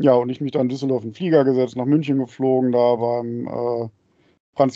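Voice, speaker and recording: A man with a normal speaking voice talks at a moderate pace. His medium pitch follows fairly even intonation. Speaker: podcast co-host, father. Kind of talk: casual chat. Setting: video call. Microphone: mic very close to mouth.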